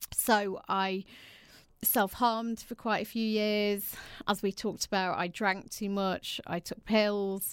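In a very clean recording with a silent background, a woman with an English accent talks at a very slow pace, her medium-pitched voice monotone and flat. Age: 40s. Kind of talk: interview.

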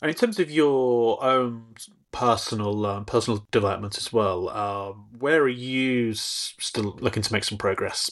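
A man with a British accent at a moderate pace, against a quiet background. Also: medium pitch for a man, ordinary pitch variation. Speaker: podcast host. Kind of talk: interview conversation.

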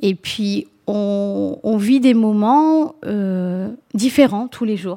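A woman's dark, mellow voice at a medium pitch, on a very clean recording with a silent background. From France, raised from age 4 (Mauritian family). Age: 40s. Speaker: nursing home housekeeping manager. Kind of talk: interview.

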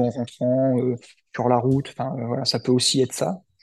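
Against a quiet background, the speech has monotone, flat intonation. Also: man. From central France, Cher. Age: 30s. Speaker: amateur ultra-runner, former bomb disposal soldier, entrepreneur. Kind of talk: interview. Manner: halting, many fillers and repetitions.

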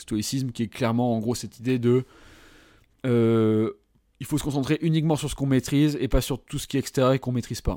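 A man speaks with fairly even intonation and a dark, mellow tone, leaving long, frequent pauses. The recording is very clean with a silent background and a dry, close sound with no echo. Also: medium pitch for a man. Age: 30s. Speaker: love coach and podcast host. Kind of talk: solo podcast monologue. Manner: casual, hesitant with fillers.

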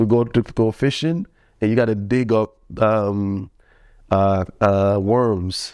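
Against a quiet background, a man with a fairly low pitch and a dark, mellow tone speaks at a very slow pace with fairly even intonation. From Jamaica. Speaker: former track athlete. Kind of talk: casual interview, personal story.

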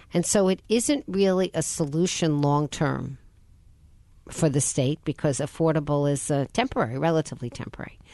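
Speaking at a fairly quick pace with ordinary pitch variation, a woman has a very deep, low pitch, heard in a dry, close sound with no echo against a quiet background. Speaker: radio host. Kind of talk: radio interview. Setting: studio.

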